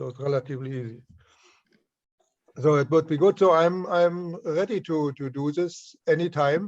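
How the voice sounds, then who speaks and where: The speaker goes at a moderate pace with ordinary pitch variation and long, frequent pauses. Loudness swings widely throughout. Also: man, fairly high pitch for a man. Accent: German. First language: German. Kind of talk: casual chat. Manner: halting.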